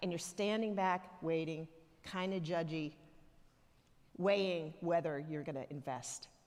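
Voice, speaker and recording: Using fairly even intonation and a fairly low pitch, a woman with an American accent talks at a fairly slow pace with long, frequent pauses. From US South, Alabama (near Tuscaloosa). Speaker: church elder, lay preacher. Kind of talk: sermon. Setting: church. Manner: conversational, humorous storytelling.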